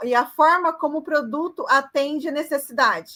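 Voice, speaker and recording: A woman's raised, projected voice, high in pitch and bright and sharp in tone, at a fairly slow pace. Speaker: university lecturer. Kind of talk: online lecture.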